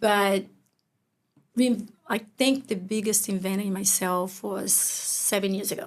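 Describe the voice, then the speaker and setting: In a Brazilian accent, a woman speaks fairly slowly at a medium pitch with fairly even intonation and long, frequent pauses. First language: Portuguese. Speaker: business owner. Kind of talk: interview conversation. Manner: halting.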